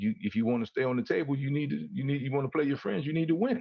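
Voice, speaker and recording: His pitch swings very widely. The speaker is a man. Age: 60s. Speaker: co-host of talk show. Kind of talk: casual chat. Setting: livestream.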